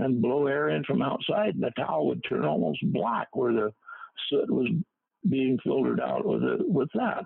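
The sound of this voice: At a moderate pace, the gravelly voice shows vocal fry and a slightly husky edge. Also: man.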